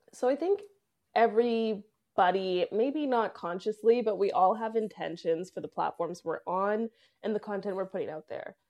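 A plain, everyday voice from a woman with a Canadian accent, lively intonation, big swings in loudness and a moderate pace. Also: fairly high pitch for a woman. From Canada. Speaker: content repurposing agency owner. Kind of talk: podcast interview.

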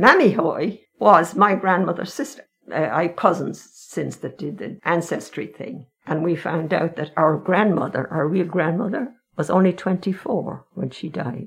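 In an Irish accent, a woman speaks fairly slowly, her voice fairly low and somewhat breathy. Her intonation is lively, and her loudness swings widely. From Ireland, County Meath. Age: 80s+. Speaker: retired nanny. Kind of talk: interview. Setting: in person, masked.

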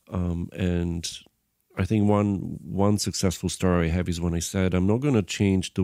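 In a very clean recording with a silent background, a man speaks in a very deep, low pitch with a dark, mellow tone and fairly even intonation. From Bulgaria. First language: Bulgarian. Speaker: film and tv composer, musician. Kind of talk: casual interview conversation. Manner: halting, hesitant with filler words.

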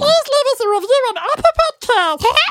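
An extremely high-pitched, put-on character voice. It moves at a moderate pace.

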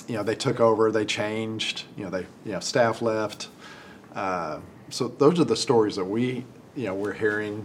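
A man with an American accent and an unremarkable speaking voice talks at a fairly low pitch and fairly slow pace, with ordinary pitch variation. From Texas (Amarillo). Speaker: dentist. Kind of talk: casual interview.

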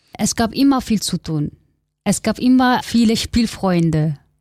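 Speaking fairly slowly with ordinary pitch variation, a woman has a dark, mellow, somewhat breathy voice in a very clean recording with a silent background. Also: dry, close sound with no echo. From Kurdistan, Turkey. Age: 20s. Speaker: interviewee, migrant activist. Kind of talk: interview.

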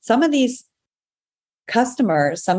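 Vocal fry runs through this woman's voice. She keeps a moderate pace. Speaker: entrepreneur and breast cancer survivor. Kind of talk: podcast interview.

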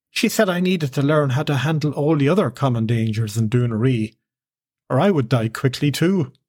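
A man's somewhat breathy, fairly high voice at a fairly quick pace, with lively intonation and very even loudness, on a very clean recording with a silent background. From Ireland. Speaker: podcast host and fiction storyteller. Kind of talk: scripted narration.

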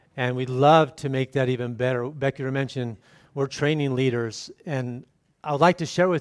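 A man with a plain, everyday voice speaks fairly quickly at a fairly high pitch, keeping his intonation fairly even, in a very clean recording with a silent background. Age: 50s. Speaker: missionary. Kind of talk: sermon.

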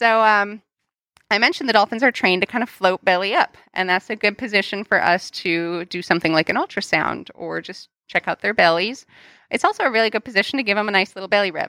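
A woman's bright, sharp voice at a medium pitch with ordinary pitch variation, delivered at a very fast pace, dry and close with no echo, on a very clean recording with a silent background. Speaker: marine mammal trainer. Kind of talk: casual interview.

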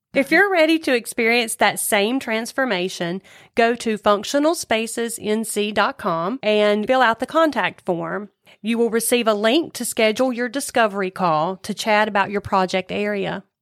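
A normal speaking voice from a woman, fairly high in pitch with ordinary pitch variation and a moderate pace, dry and close with no echo on a very clean recording with a silent background. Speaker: co-host listening and reacting. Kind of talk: casual chat. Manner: responsive, curious, chatty.

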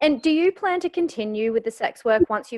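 A woman with an Australian accent, very fast, with lively intonation. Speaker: podcast host, journalist and sex educator. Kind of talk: casual interview chat.

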